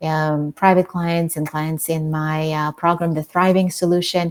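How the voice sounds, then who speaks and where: A woman speaks with a non-native accent at a fairly low pitch. Her intonation stays flat and monotone. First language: not English. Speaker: author and trauma coach. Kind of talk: interview.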